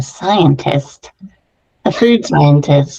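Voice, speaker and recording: A woman's very deep, low voice, somewhat breathy and dark, mellow in tone, at a very slow pace. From US, San Francisco Bay Area. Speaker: qualitative researcher and career coach. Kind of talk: interview.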